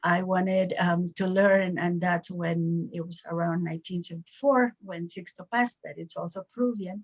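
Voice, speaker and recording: Dry and close with no echo, a woman's somewhat breathy voice at medium pitch moves at a moderate pace with fairly even intonation, big swings in loudness and hardly any pauses. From Peru, Cusco. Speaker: spiritual teacher. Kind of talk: interview.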